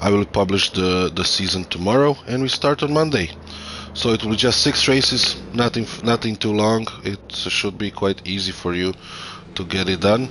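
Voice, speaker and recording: A man with a Croatian accent at a fairly low pitch and moderate pace, with ordinary pitch variation over noticeable background noise. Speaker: sim racing commentator. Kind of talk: live commentary. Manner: halting; animated.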